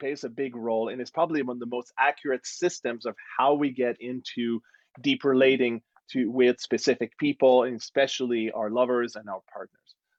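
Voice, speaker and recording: Recorded dry and close with no echo against a quiet background, a man with a slight French Canadian accent talks at medium pitch, a moderate pace, and with fairly even intonation. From Quebec, Montreal. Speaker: relationship coach. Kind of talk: casual conversation. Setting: live stream video call.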